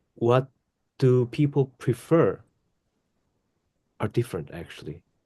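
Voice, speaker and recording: A man with a medium-pitched voice speaks at a fairly slow pace, his dark, mellow tone somewhat breathy and his intonation lively. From South Korea. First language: Korean. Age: 30s. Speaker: podcast co-host. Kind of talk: casual chat. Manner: halting.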